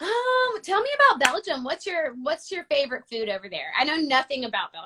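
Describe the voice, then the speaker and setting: Projecting her voice at a high pitch, a woman with an American accent talks at a fairly quick pace with hardly any pauses, very wide pitch swings and big swings in loudness. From United States. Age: 20s. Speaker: singer. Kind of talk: casual interview. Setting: video call.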